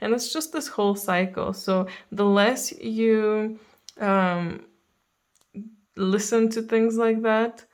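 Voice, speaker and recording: In a calm tone, a woman speaks very slowly at a fairly high pitch with ordinary pitch variation and long, frequent pauses. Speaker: tarot reader. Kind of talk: spiritual reading to camera. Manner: hesitant with fillers.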